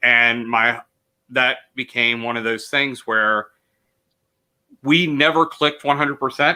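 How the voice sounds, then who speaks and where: Loud and at a medium pitch, a man speaks in a bright, sharp tone with fairly even intonation, a fairly slow pace and long, frequent pauses. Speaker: teacher and actor. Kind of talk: interview conversation. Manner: loud, boisterous.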